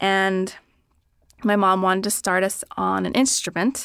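The voice moves at a moderate pace with ordinary pitch variation on a very clean recording with a silent background. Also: woman. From Philadelphia, US. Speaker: violinist and podcast producer. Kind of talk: casual interview. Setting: studio.

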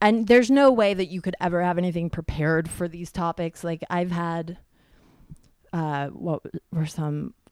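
A woman talks in a normal speaking voice with a fairly low pitch and ordinary pitch variation. The sound is dry and close, with no echo. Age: 30s. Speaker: stand-up comedian. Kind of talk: casual chat.

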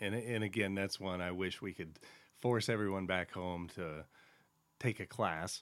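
Very deep and low, a man's voice carries an American accent and fairly even intonation. He speaks at a fairly slow pace in a very clean recording with a silent background. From Central Oregon, US. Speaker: state representative and podcast host. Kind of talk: interview conversation.

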